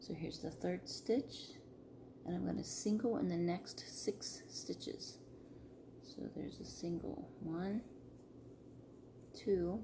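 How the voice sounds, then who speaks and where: A woman whispers at a very slow pace with long, frequent pauses. Noticeable background noise and audible room echo surround her. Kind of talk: tutorial. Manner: casual.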